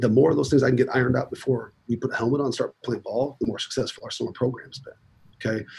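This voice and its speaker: A man talks at a very fast pace with an American accent. His voice is somewhat breathy, with fairly even intonation. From US Midwest, South Dakota. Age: 40s. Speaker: college football strength coach. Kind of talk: casual interview.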